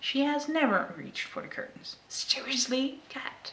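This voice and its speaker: The speaker has a Dutch accent. Noticeable background noise can be heard. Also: woman. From Netherlands. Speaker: knitting podcaster. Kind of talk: casual talk to camera.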